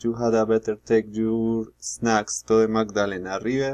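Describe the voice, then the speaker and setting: The man's voice is recorded with a dry, close sound and no echo. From Colombia, Bogotá. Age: 20s. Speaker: student. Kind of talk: language class speaking exercise. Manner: halting, hesitant.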